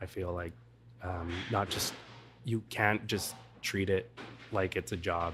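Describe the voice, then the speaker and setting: Soft-spoken and fairly slow, the speaker keeps a fairly even intonation and leaves long, frequent pauses. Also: man, very deep, low pitch for a man. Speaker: hospitality professional. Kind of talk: interview answer.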